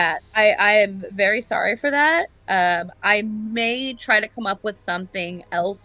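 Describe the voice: The speaker does a plain reading aloud.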